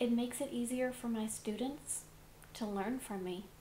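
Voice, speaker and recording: A high-pitched woman's voice with audible room echo and noticeable background noise. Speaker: public speaking teacher. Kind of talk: lecture.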